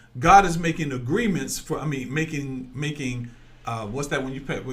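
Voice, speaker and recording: An animated, bright and sharp tone moves at a fairly quick pace through audible room echo. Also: man. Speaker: online preacher. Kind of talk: sermon. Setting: livestream. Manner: loud.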